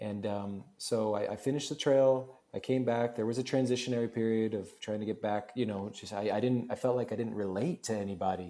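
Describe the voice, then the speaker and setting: In an American accent, a man speaks at a fairly quick pace with hardly any pauses, at a medium pitch, with a dark, mellow tone and fairly even intonation. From Florida. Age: 30s. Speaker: real estate investor and hotel owner. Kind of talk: casual interview chat. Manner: halting, many fillers and restarts.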